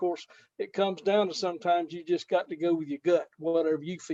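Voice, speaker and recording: A dark, mellow tone at a fairly quick pace with fairly even intonation, dry and close with no echo. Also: man. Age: 70s. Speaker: fantasy sports contest winner. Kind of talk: casual interview. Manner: halting, many fillers.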